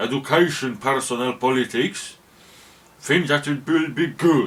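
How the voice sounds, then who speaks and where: Noticeable background noise sits behind a man's medium-pitched voice. He speaks very slowly with lively intonation. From Poland. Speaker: YouTuber. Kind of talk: casual monologue. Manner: halting.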